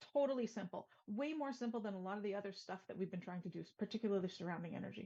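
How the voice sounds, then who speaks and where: Her voice is dark and mellow, somewhat breathy, and sits at a medium pitch with ordinary variation. The woman speaks at a very fast pace. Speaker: sustainability consultant. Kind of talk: webinar presentation. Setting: virtual event.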